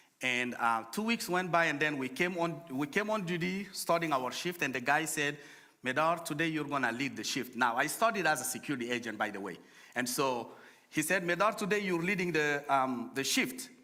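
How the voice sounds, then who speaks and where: The voice has a bright, sharp tone and very wide pitch swings at a fairly quick pace. Room echo is audible. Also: man, fairly high pitch for a man. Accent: strong Francophone African. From Chad. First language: French. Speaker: nonprofit director, guest speaker. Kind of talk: sermon. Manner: halting.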